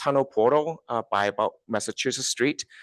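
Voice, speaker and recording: This man speaks with a Chinese accent against a quiet background. The sound is dry and close, with no echo. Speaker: transit agency staff presenter. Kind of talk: public presentation. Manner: halting, many fillers.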